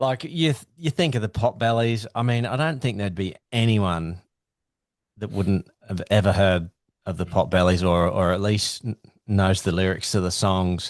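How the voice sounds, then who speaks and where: Against a quiet background, a man with an Australian accent speaks at a fairly low pitch and a moderate pace, with ordinary pitch variation and a dry, close sound with no echo. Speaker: podcast host. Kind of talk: podcast interview.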